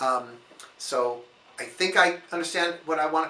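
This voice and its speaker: At a fairly slow pace and with ordinary pitch variation, the speech carries audible room echo and noticeable background noise. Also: man. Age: 60s. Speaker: priest. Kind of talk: sermon-style reflection. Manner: calm, gentle.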